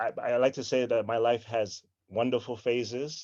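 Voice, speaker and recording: This man speaks with an American accent at a fairly slow pace, his voice medium in pitch with a dark, mellow tone. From Lynn, Massachusetts, US. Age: 40s. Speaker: school administrator. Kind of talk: interview. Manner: hesitant, many fillers.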